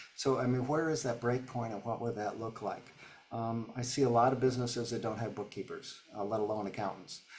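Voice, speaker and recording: A man talks at a medium pitch. Noticeable background noise runs behind him. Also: fairly quick pace. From upstate New York. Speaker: business coach. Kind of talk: webinar Q&A. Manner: fast; halting, many fillers.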